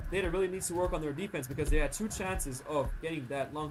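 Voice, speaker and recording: Over noticeable background noise and audible room echo, a man talks at a very fast pace with a fairly high pitch and ordinary pitch variation. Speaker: esports caster. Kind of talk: live commentary. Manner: animated.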